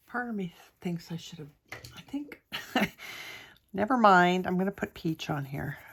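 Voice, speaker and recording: Soft-spoken and medium in pitch, a woman talks at a moderate pace with lively intonation, big swings in loudness, and long, frequent pauses. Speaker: art tutorial creator. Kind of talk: tutorial. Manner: hesitant with many fillers.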